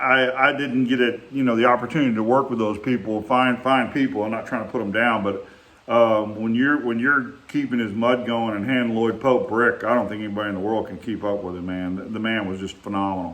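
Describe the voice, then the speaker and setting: A man's fairly quick, nearly pause-free speech in a Texas accent, medium in pitch with fairly even intonation, with audible room echo. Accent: Texas Southern. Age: 60s. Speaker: vlogger reminiscing, former bricklayer. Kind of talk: casual storytelling monologue. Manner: halting, with many fillers.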